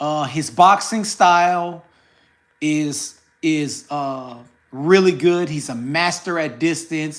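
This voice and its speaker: The speech comes at a very slow pace in an American accent. The recording is very clean, with a silent background. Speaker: boxing commentator YouTuber. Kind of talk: casual commentary vlog. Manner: animated.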